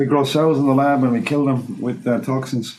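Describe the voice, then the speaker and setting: Behind the speech there is noticeable background noise along with audible room echo. The man delivers his words fairly quickly. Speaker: molecular toxicologist, podcast host. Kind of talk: casual chat. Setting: studio.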